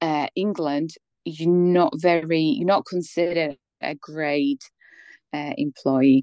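Against a quiet background with a dry, close sound and no echo, a woman speaks at a very slow pace and fairly low pitch with ordinary pitch variation. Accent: Polish. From Poland. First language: Polish. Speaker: former migrant, office worker. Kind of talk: interview. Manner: hesitant, many fillers.

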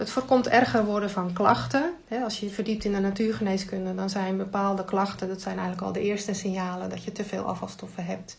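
Audible room echo surrounds a woman speaking at a fairly quick pace with hardly any pauses. Her medium-pitched voice keeps a fairly even intonation. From Netherlands, North Holland (Heemskerk). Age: 50s. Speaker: tea product distributor. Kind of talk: casual interview. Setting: studio, face to face at table.

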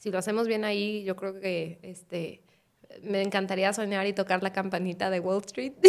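At a moderate pace, a woman speaks with medium pitch. Her intonation is flat and monotone. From Guadalajara, Mexico. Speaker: startup CEO. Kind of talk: casual chat.

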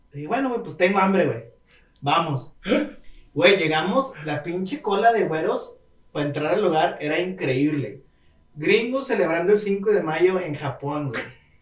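A man with a high pitch talks at a fairly slow pace with lively intonation and long, frequent pauses, and room echo is audible. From Monterrey, Mexico. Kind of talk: casual chat.

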